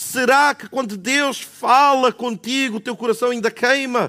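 In a raised, projected voice, a man speaks at an extremely high pitch with a bright, sharp, warm tone. His pace is moderate and his intonation fairly even. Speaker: preacher. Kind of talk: sermon. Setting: church with congregation. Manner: rhetorical, repeating questions for emphasis; warm, conversational, preacherly.

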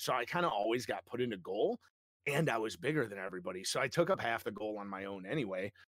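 Someone with a Midwestern American accent talks at a very fast pace with lively intonation. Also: man, fairly low pitch for a man. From Michigan, south of Detroit. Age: 40s. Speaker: Twitch streamer. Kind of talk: casual chat.

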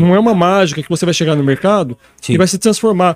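A man speaks at a fairly quick pace in a high voice. The sound is dry and close, with no echo. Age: 50s. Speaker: doctor and day trader. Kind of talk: live panel discussion.

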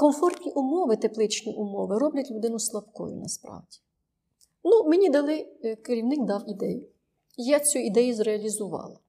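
A woman with a fairly high pitch and a dark, mellow tone is speaking. Her pace is fairly quick and her intonation lively. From Ukraine, Ternopil. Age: 60s. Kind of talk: interview. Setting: studio.

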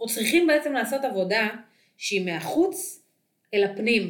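The voice makes very wide pitch swings amid audible room echo. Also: woman. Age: 30s. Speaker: dating coach. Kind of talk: solo podcast talk.

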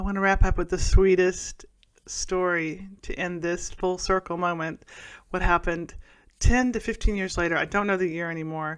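In a very clean recording with a silent background, a woman with an American accent uses an ordinary speaking voice of medium pitch, keeping a moderate pace and fairly even intonation. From Oklahoma, US (Tulsa). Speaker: podcast host and business mentor. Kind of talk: solo podcast monologue.

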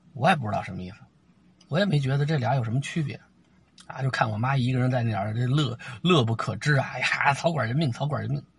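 Speaking very fast, a man sounds animated and somewhat breathy, with lively intonation. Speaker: storyteller podcaster. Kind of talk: storytelling monologue.

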